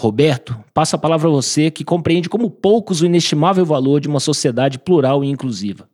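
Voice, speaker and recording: A man with a dark, mellow tone talks at a fairly quick pace with ordinary pitch variation. The recording is very clean with a silent background. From Brasília, Brazil. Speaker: author. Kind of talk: reading aloud.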